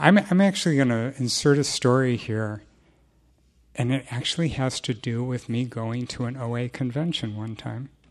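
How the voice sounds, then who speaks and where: A normal speaking voice from a man at medium pitch, with ordinary pitch variation and a moderate pace, on a very clean recording with a silent background. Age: 60s. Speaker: recovery group speaker. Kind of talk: testimony.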